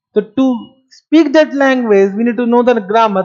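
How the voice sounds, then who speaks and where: Someone with an Indian accent talks at a fairly slow pace in an animated tone. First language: Marwari. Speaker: accounting teacher. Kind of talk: lecture. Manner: animated, rhetorical questioning.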